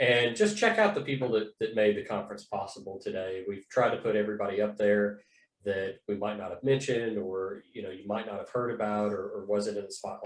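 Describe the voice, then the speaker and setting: The man talks at a fairly quick pace, his loudness swinging widely. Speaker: conference organizer. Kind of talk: closing remarks at online conference. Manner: fast.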